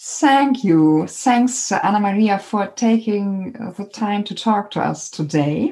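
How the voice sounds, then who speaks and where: A woman with a German accent, very slow yet with hardly any pauses, medium in pitch, somewhat breathy, with a dark, mellow tone and lively intonation. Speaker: podcast host. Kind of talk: interview; monologue.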